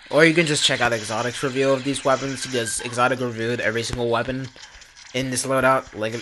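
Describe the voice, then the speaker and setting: A man talks at a very fast pace with a medium pitch and fairly even intonation, over noticeable background noise. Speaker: gaming YouTuber. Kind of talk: gameplay commentary. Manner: casual, many fillers.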